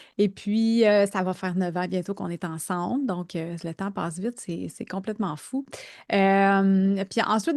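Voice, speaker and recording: A woman with a Quebec accent talks at a fairly slow pace. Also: quiet background. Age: 40s. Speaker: business coach and podcast host. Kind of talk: casual interview. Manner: hesitant, many fillers.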